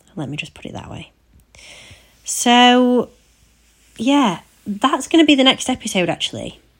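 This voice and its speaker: A woman's high voice in an English accent, with lively intonation, big swings in loudness, long, frequent pauses, and a moderate pace, on a very clean recording with a silent background. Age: 30s. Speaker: podcast host. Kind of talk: personal storytelling monologue. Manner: casual, unscripted.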